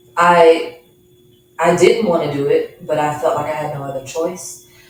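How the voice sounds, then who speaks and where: A woman with an American accent talks at a fairly low pitch and a moderate pace, her intonation monotone and flat. Her loudness swings widely, and there is noticeable background noise. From Dallas, Texas. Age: 40s. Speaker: guest sharing faith testimony. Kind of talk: testimony; interview.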